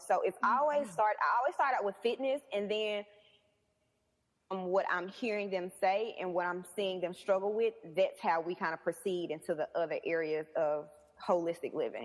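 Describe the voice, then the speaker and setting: An energetic woman's voice in a Southern US accent, medium in pitch, at a moderate pace with ordinary pitch variation. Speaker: personal trainer. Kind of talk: interview answer.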